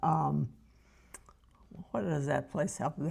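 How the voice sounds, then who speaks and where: The woman's voice carries a dark, mellow tone. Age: 80s+. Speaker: retiree. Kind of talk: interview.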